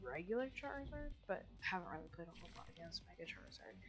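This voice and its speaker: A woman speaks quietly. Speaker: gaming commentator. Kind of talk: gameplay voice-over commentary. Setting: home recording at night. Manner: hesitant, many fillers.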